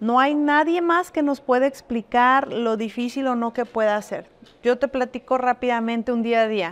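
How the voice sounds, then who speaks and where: In a very clean recording with a silent background, a woman with a high pitch speaks at a moderate pace with ordinary pitch variation. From Jalisco, Mexico (Arandas). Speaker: businesswoman. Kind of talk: interview.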